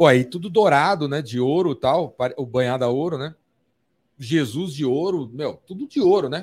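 At a moderate pace, this man uses an ordinary speaking voice with fairly high pitch and lively intonation. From São Paulo, Brazil. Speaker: podcast host. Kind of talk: casual chat. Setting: studio.

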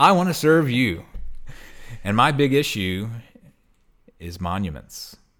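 A man of medium pitch speaks at a fairly slow pace, with long, frequent pauses. His pitch swings very widely. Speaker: podcast host. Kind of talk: casual chat.

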